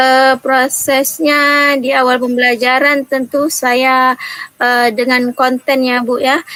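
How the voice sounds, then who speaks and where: A raised, projected voice speaks at a very slow pace with monotone, flat intonation and very even loudness over noticeable background noise. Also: woman, high pitch for a woman. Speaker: primary school teacher. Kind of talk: role-play coaching session.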